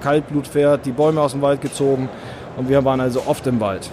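A man speaks at a moderate pace and medium pitch with a slight northern German accent. Noticeable background noise is present. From northern Germany. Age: middle-aged. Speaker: hunter and hunting filmmaker, police officer. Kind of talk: interview.

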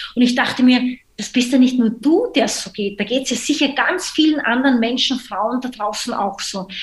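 A woman with a high pitch talks at a moderate pace with hardly any pauses and ordinary pitch variation. Her loudness swings widely over noticeable background noise. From Austria. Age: 30s. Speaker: social entrepreneur. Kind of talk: podcast interview.

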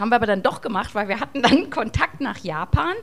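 This woman's pitch is fairly high. She keeps a fairly quick pace. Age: young. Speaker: rock singer, band leader. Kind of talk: casual chat.

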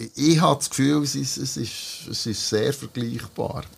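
At a moderate pace, a man speaks in an unremarkable speaking voice with medium pitch and ordinary pitch variation. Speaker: podcast host and musician. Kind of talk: casual chat. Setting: band rehearsal room.

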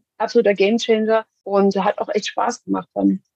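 With a dry, close sound and no echo, a woman speaks fairly quickly in a fairly high pitch with a dark, mellow tone. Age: 40s. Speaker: executive assistant. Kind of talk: interview.

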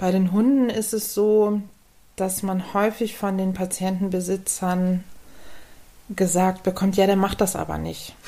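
Her pitch medium and her intonation flat and monotone, a woman speaks fairly slowly with long, frequent pauses. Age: 40s. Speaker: physiotherapist for humans and dogs. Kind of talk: casual interview.

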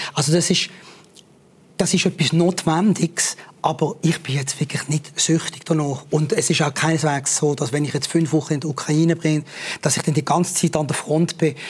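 Fairly high pitch and fairly even intonation from a man, noticeable background noise around him. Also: moderate pace. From Switzerland, Basel. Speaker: war reporter. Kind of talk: interview. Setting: studio.

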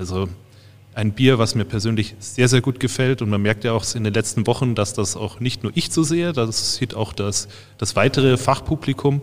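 A man speaks at a moderate pace, his pitch medium with ordinary variation.

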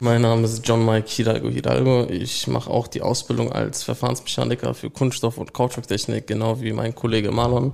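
A man keeps a fairly quick pace, barely pausing, while noticeable background noise sits behind him. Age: young. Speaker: apprentice process mechanic. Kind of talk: interview.

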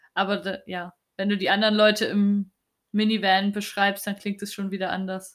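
In a very clean recording with a silent background, a woman at medium pitch speaks at a moderate pace with monotone, flat intonation. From East Germany. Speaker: podcast host, journalist. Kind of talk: interview conversation.

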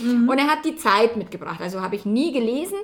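Moderate pace in a Bavarian accent. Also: woman. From Bavaria, rural farm. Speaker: relationship coach. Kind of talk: casual interview. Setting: in person in Hamburg. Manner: animated, laughs often.

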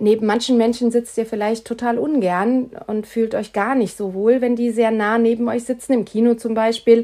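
A woman with a fairly high pitch and a dark, mellow tone speaks at a moderate pace in a monotone, flat intonation. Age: 50s. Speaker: podcast host, health and change coach. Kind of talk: solo podcast monologue.

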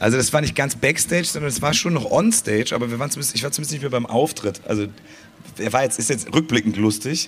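A man's voice with ordinary pitch variation over noticeable background noise. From Cologne, Germany. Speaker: carnival band musician. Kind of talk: live podcast interview. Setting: festival stage with audience.

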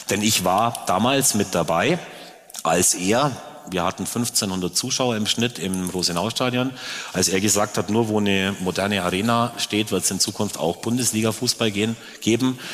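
With very even loudness and ordinary pitch variation, a man talks at a moderate pace and a fairly low pitch over noticeable background noise. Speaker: football club president. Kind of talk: live panel talk. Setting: stage with audience.

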